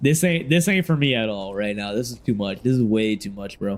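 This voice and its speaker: A man talks loudly in an animated tone. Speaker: gaming streamer. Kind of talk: casual livestream chat.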